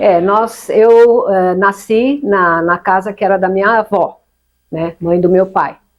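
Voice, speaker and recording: Fairly even intonation from a woman, delivered very slowly. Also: medium pitch for a woman. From Brazil, São Caetano do Sul (Greater São Paulo). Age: 70s. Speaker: retired teacher and education official. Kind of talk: interview.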